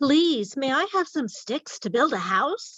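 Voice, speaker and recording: A put-on character voice at a fairly slow pace, full of very wide pitch swings. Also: woman. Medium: read story.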